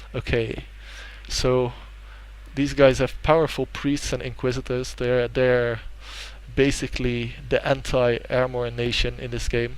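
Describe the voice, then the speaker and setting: A man with a Dutch accent leaves long, frequent pauses as he speaks. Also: fairly slow pace. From Netherlands. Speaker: gaming YouTuber. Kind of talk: let's play commentary. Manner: hesitant, many fillers.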